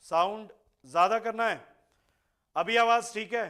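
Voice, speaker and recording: A man talks with a bright, sharp tone. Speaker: online science teacher. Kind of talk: live online class.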